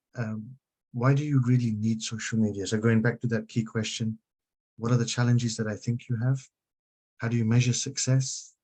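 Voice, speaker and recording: A man speaks at medium pitch in a dark, mellow, somewhat breathy tone. His delivery is fairly quick, with monotone, flat intonation. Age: 50s. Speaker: social media consultant. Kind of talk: webinar presentation. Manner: fast.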